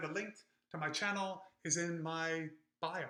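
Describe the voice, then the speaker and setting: This raised, projected voice comes with an American accent. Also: man. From UK. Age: 40s. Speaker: running YouTuber. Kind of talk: live-stream chat reading comments. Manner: off the cuff, casual with fillers.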